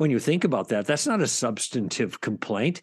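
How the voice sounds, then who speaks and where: A man with vocal fry, fairly quick speech and a quiet background. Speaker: author and former broadcaster. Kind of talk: interview about his book.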